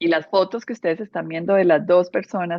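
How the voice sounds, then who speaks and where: A woman speaks in a Medellín accent. Her voice is fairly low in pitch. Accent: Medellín (paisa) Colombian. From Colombia, Medellín. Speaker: interior architect, speaker. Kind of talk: presentation talk.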